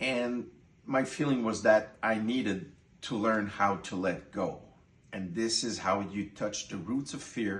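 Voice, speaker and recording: Audible room echo surrounds a man speaking with a French Canadian accent and ordinary pitch variation. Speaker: course participant. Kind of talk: testimony.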